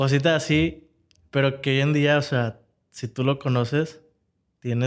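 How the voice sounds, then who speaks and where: Speaking at a fairly slow pace, a man with a medium pitch keeps his intonation fairly even. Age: 20s. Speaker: young entrepreneur. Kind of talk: interview. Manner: halting.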